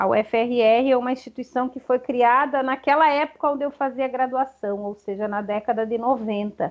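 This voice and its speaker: Pitched high, a woman speaks with fairly even intonation. She leaves hardly any pauses. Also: moderate pace. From Rio Grande do Sul, Brazil (small interior town). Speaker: chemistry professor and researcher. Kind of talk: interview.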